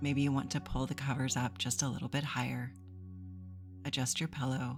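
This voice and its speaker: Over music in the background, a woman speaks with lively intonation and a very deep, low pitch. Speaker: therapist. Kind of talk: guided meditation. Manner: soft-spoken.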